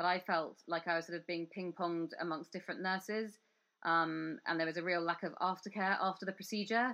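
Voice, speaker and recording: Speaking with a British accent, a woman keeps a fairly quick pace and fairly even intonation at a fairly low pitch. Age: 30s. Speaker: podcast host. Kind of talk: interview.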